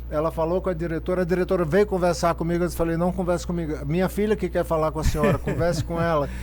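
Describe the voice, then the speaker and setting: A man speaks at a very fast pace. There are hardly any pauses. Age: 60s. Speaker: psychologist. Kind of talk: podcast conversation. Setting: studio.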